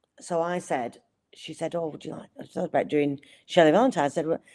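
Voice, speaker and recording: The voice has a dark, mellow tone and a Lancashire accent. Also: woman, very clean recording, silent background. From Accrington, Lancashire. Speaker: actress. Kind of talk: interview answer.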